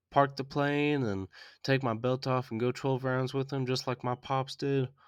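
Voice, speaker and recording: Over a quiet background, a man with a Southern US accent talks at a moderate pace in a monotone, flat delivery at a medium pitch. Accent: mild Southern. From US South. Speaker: podcast host, movie reviewer. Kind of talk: movie review podcast. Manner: casual, with frequent fillers.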